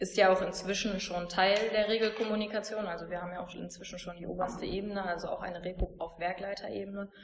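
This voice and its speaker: A woman talks at a very fast pace with hardly any pauses, medium in pitch and monotone in intonation. Her loudness swings widely over noticeable background noise. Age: 30s. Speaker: lean manager. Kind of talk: interview.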